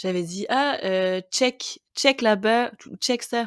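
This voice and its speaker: A woman speaks with ordinary pitch variation in a dry, close sound with no echo, on a very clean recording with a silent background. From Quebec, Montreal. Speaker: podcast guest, expatriate. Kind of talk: casual interview chat. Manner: hesitant, many fillers.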